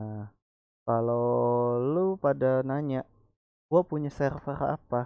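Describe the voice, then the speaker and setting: A man's medium-pitched voice at a very slow pace, with ordinary pitch variation and long, frequent pauses. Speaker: gaming YouTuber. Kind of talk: tutorial. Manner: casual.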